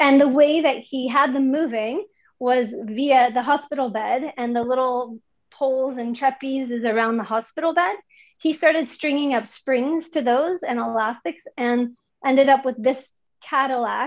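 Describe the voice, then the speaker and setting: A woman's high-pitched voice comes through with little noise behind it. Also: ordinary pitch variation, moderate pace. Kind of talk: lecture. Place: gym. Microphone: camera far.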